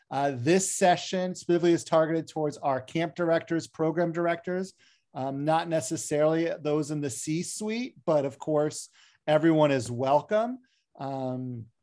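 Against a quiet background, a man talks at a moderate pace. His tone is dark and mellow, and his pitch varies in an ordinary way. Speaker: session host. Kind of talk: hosting welcome remarks. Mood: friendly, self-deprecating humor. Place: home room. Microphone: video call.

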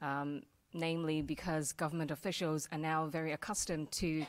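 Using an ordinary speaking voice, a woman talks at a moderate pace with a fairly low pitch. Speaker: panelist, TV news reporter. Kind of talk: panel introduction talk. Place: hall.

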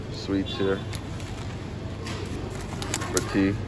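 Over clear background noise, a man speaks slowly at a low pitch.

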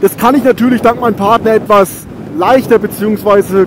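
Noticeable background noise sits behind a man with an extremely high pitch who speaks at a moderate pace. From Germany, Rhön region (Franconia). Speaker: motorcycle YouTuber. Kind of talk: motovlog while riding. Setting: on a motorcycle outdoors.

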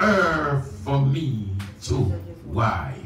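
There is light background noise and audible room echo. The speaker is a man. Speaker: preacher. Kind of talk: sermon. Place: church. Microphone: camera far.

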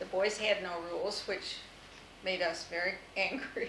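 A woman with an American accent speaks with fairly even intonation, with audible room echo and light background noise. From US Midwest, Toledo, Ohio; Ohio. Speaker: interviewee recalling her life; interviewee. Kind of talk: oral history interview. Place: home room. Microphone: old recording.

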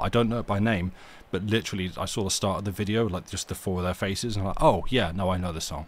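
A man speaks with a very deep, low pitch. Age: 40s. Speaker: streamer reading stories aloud. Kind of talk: casual chat; reading aloud. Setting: live stream.

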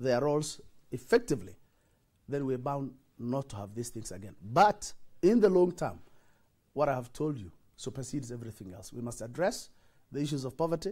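Against a quiet background, a man's dark, mellow voice swings very widely in pitch. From northeastern Kenya, Wajir; northeastern Kenya. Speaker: senator. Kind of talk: TV interview. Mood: earnest, explanatory. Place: studio. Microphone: lapel.

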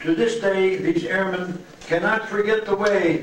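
At a moderate pace, a man speaks with fairly even intonation. Audible room echo and light background noise are present. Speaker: presenter. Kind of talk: prepared speech. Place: hall.

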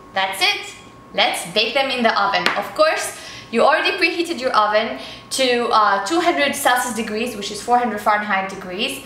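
A woman is heard with audible room echo. There is light background noise. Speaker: cooking show host. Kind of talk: tutorial. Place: kitchen.

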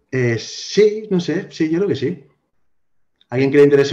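A man talks at a medium pace, and the background is quiet. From Spain, Alicante; Spain. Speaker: IT specialist and blogger; blogger. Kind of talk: casual interview chat. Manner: halting, many fillers. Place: home room. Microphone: video call.

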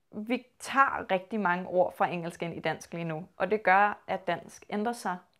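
The woman's pitch varies in an ordinary way. She speaks at a fairly slow pace against a quiet background. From Copenhagen, Denmark; Denmark. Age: 20s. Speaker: linguistics student. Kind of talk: interview. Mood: calm, thoughtful. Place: home room. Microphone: lapel.

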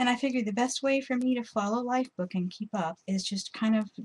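A woman speaks at a fairly slow pace. Her voice has a slightly husky edge.

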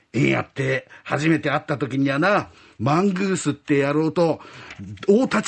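A man's fairly high voice with vocal fry and an animated, timid tone, at a moderate pace with ordinary pitch variation. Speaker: rakugo storyteller. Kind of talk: rakugo storytelling, performing python, snake boss and other characters. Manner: animated, switching between gruff Edo-style tough-guy and timid voices.

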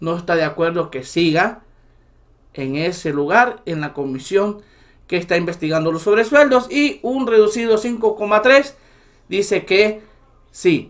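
Over a quiet background, a man with a Salvadoran accent talks in a high, animated voice with lively intonation, at a fairly slow pace with long, frequent pauses. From El Salvador. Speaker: political commentary YouTuber. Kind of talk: political commentary monologue. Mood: indignant, critical.

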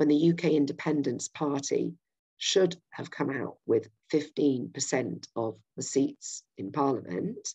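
Speaking at a fairly slow pace, a woman with a Yorkshire accent is heard against a quiet background. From Yorkshire, England. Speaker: political campaigner. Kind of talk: political presentation. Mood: earnest, persuasive. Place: home room. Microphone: webcam.

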